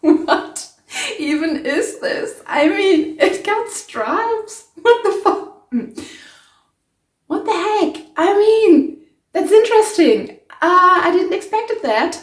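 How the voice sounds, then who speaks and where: A woman with a German accent speaks at a very slow pace in an extremely high pitch with lively intonation. Audible room echo surrounds her voice. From Germany. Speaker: sewing YouTuber. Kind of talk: DIY tutorial vlog. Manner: casual, hesitant with many fillers.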